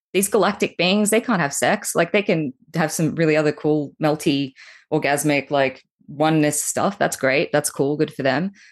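With an Australian accent, a woman talks at a moderate pace in a very deep, low pitch, her loudness very even and her pitch varying in an ordinary way, over a quiet background. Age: 30s. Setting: video call.

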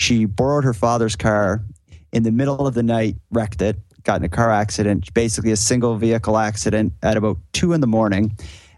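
A man speaks with a Cape Breton accent. His pace is fairly quick. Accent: Cape Breton Canadian. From Cape Breton, Nova Scotia (Sydney). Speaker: podcast host, guest storyteller. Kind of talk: casual interview, storytelling. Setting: remote call.

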